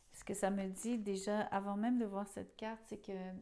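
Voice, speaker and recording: This voice has a dark, mellow tone and a monotone, flat intonation. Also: woman. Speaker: tarot reader. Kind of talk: tarot reading monologue. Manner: halting, with fillers.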